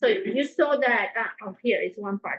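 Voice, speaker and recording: This woman speaks with a strong non-native accent. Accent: strong foreign. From South America. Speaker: nutrition cooking instructor. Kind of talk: cooking class. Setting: class with live audience.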